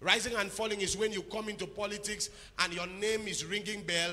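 At a fairly quick pace, a man speaks in a raised, projected voice. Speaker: preacher. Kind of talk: sermon. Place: church. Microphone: handheld.

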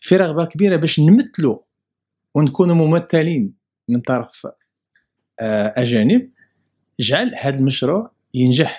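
Very slowly and with long, frequent pauses, a man speaks in a dark, mellow tone with very wide pitch swings over a quiet background. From Morocco, Casablanca. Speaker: immigrant rights association president; interviewee. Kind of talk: interview testimony. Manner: halting. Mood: friendly, smiling. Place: office. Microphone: handheld.

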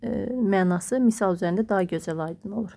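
The very clean recording has a silent background. A woman talks at a moderate pace and medium pitch, her tone dark and mellow. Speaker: math teacher and textbook author. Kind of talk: book walkthrough tutorial.

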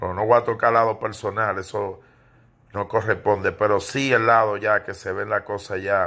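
A man's bright, sharp voice, monotone and flat, at a moderate pace. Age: 40s. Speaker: entertainment gossip commentator. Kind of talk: casual video commentary monologue. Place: home room. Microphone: phone near.

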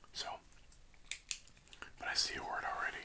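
A man is whispering. He keeps a moderate pace. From Canada. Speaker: ASMR creator. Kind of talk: casual ASMR talk to camera while doing a word puzzle. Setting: close-mic ASMR recording. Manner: whispered, soft-spoken. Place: home room. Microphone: studio mic.

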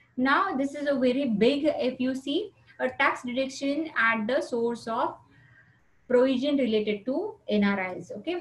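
A woman's high voice with an Indian accent and ordinary pitch variation. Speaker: teacher. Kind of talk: lecture. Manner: halting.

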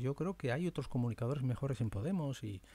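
Recorded with a dry sound and no echo, a man talks at a fairly quick pace in a dark, mellow, somewhat breathy tone with lively intonation. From Spain. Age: 50s. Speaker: media presenter; presenter. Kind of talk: monologue. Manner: animated; halting. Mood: reflective, sometimes sad. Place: home room. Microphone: studio mic.

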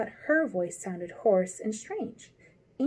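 A natural voice reading aloud.

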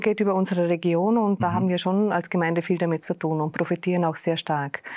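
A woman speaks in a plain, everyday voice with a fairly low pitch and ordinary pitch variation against a quiet background. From Austria, Vorarlberg. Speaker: deputy mayor. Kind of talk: panel discussion. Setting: studio. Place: studio. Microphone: lapel.

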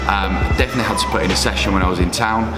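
Very fast speech from a man over loud music in the background. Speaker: travelling strength athlete vlogger. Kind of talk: casual vlog chat. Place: home room.

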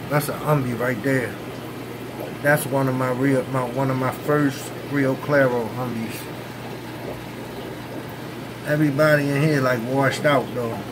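A man speaks in a monotone, flat intonation with long, frequent pauses. Noticeable background noise runs under his voice. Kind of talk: casual vlog chat. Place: home room. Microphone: phone near.

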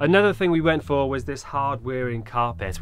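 With faint music in the background, a man talks at a fairly quick pace. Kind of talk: casual vlog chat. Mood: cheerful, proud. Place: bus. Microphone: camera far.

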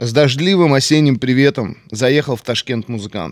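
A man talks at a moderate pace. The background is quiet and the sound is dry with no echo. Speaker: podcast guest. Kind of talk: interview answer. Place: studio. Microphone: studio mic.

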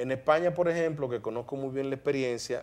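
Fairly quick speech from a man at medium pitch, with ordinary pitch variation. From Dominican Republic, San Pedro de Macorís; Dominican Republic. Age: 50s. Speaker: broadcaster and media commentator; TV interview guest. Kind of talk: interview. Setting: studio. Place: studio. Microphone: lapel.

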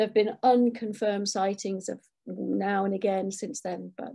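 A woman speaks in a dark, mellow tone with vocal fry. Her intonation is fairly even, and the background is quiet. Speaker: guest. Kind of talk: lecture. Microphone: webcam.

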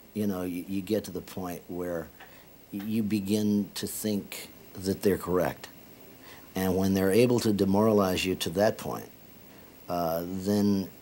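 At a fairly slow pace, a man speaks with a fairly low pitch, a dark, mellow tone, monotone, flat intonation and long, frequent pauses. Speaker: interviewee. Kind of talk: interview answer. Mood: reflective, serious. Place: home room. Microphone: lapel.

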